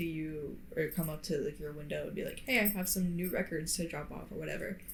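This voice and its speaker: In an American accent, the somewhat breathy voice moves at a fairly quick pace with fairly even intonation and audible room echo. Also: woman. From Florida. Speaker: podcast co-host. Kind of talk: casual chat. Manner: hesitant, many fillers. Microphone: poor podcast mic.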